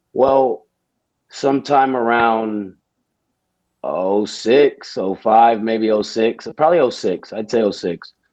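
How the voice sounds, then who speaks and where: A man with an American accent speaks at a very slow pace, leaving long, frequent pauses. His medium pitch varies in an ordinary way. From Houston, Texas. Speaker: army veteran. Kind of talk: casual interview.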